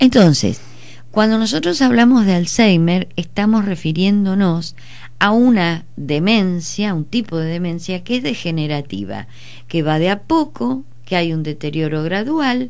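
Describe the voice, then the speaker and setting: Audible room echo surrounds a woman speaking fairly slowly at a fairly low pitch. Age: 60s. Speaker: psychologist. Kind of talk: radio interview.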